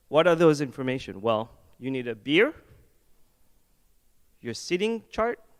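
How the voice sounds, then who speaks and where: In a French accent, a man with a fairly high pitch speaks at a moderate pace with very wide pitch swings, in a very clean recording with a silent background. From France. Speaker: head of product design. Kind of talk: conference talk. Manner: casual, joking.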